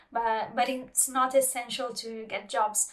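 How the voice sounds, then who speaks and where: Speaking slowly-ish at a fairly slow pace, a woman with a non-native accent uses a high pitch and monotone, flat intonation. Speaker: subtitler and translator, channel host. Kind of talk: interview conversation. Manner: hesitant, many fillers.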